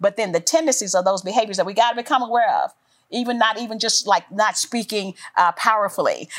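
Her pitch fairly high and her intonation lively, a woman talks at a very fast pace. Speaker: author and former corporate executive. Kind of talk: faith-based interview.

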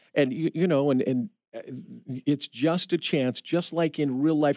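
Speaking with a Midwestern American accent, a man has a fairly high pitch, a dark, mellow tone, ordinary pitch variation and a fairly slow pace in a very clean recording with a silent background. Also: dry, close sound with no echo. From Indiana. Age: 50s. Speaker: radio station manager. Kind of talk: interview. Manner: halting, many repeated words and fillers.

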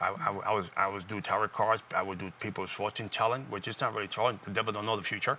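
A man with a fairly low pitch, bright, sharp tone and fairly even intonation, in a very clean recording with a silent background. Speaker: talk show guest, former occultist turned evangelist. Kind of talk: informal, testimonial preaching style. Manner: fast talker.

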